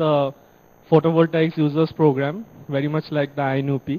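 Using monotone, flat intonation at a moderate pace, a man speaks in a fairly high pitch with a dark, mellow tone. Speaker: remote center coordinator. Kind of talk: formal feedback speech. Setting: video link from remote center. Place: classroom. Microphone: handheld.

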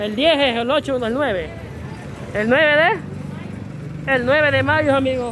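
A very slow pace in a Salvadoran accent, with crowd noise in the background. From El Salvador. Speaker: vlogger. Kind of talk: casual vlog commentary. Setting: outdoors in a market. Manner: animated. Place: street. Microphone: phone near.

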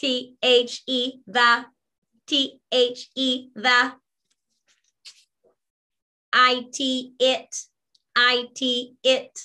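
A woman puts on a robotic character voice, high-pitched and monotone with flat intonation. She speaks at a very slow pace with long, frequent pauses. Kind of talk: sight word teaching drill for children.

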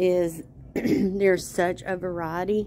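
A woman speaks with fairly even intonation over light background noise. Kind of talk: casual vlog chat. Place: shop. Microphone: phone near.

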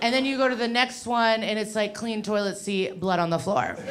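Against noticeable background noise, a woman speaks at a fairly quick pace with ordinary pitch variation. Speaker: stand-up comedian. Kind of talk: stand-up comedy routine. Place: workshop. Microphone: handheld.

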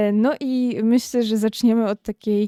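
In an Upper Silesian accent, a woman speaks very slowly at a fairly high pitch with ordinary variation and a dark, mellow tone, the sound dry and close with no echo. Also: very clean recording, silent background. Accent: Upper Silesian, audible. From Upper Silesia, Poland. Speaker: podcast host. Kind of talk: interview.

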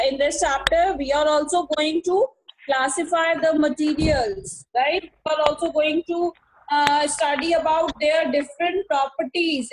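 A woman with an Indian accent, high pitch, fairly even intonation and a fairly slow pace over noticeable background noise. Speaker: school teacher. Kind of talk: online class lecture. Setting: video call. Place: home room. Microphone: video call.

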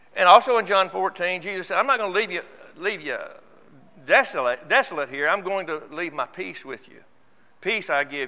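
A man speaks at a moderate pace in a raised, projected voice, high-pitched with a bright, sharp tone, lively intonation, long, frequent pauses and big swings in loudness. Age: 70s. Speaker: church elder; church elder preaching. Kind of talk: sermon. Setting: church. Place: church. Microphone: lapel.

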